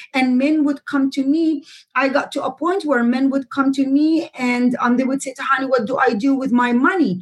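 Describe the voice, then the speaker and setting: Moderate pace in an Arabic accent, with ordinary pitch variation. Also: woman, high pitch for a woman. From Jordan. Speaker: real estate investor and author. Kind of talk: interview.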